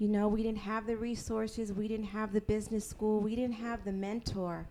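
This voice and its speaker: A woman with an American accent speaks at a moderate pace and a medium pitch. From New York (Queens and Brooklyn). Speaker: entrepreneur and author. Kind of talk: live interview and Q&A. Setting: live event with audience.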